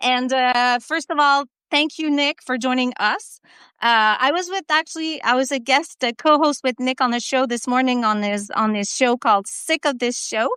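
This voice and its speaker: In a French-Canadian accent, a woman speaks in a raised, projected voice with a high pitch, bright and sharp tone, ordinary pitch variation and moderate pace, on a very clean recording with a silent background and a dry, close sound with no echo. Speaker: live-stream co-host. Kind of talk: casual chat. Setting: live video stream. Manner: halting.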